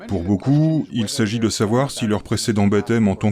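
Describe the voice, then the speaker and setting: A man's dark, mellow tone, fairly low in pitch, at a moderate pace with ordinary pitch variation. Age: 70s. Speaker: Bible teacher. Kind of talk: scripted video talk on scripture. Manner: measured, explanatory.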